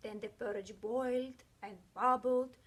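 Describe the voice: A woman speaks at a fairly slow pace in a fairly high pitch, her fairly bright tone carrying a slightly husky edge and fairly even intonation.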